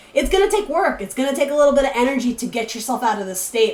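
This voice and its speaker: A woman with an American accent, with noticeable background noise. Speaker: tarot reader. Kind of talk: tarot reading. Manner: casual, chatty with fillers.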